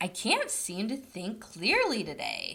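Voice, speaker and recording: In a put-on character voice, a female-sounding voice speaks at a fairly high pitch and a fairly slow pace. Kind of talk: bedtime story. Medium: read story.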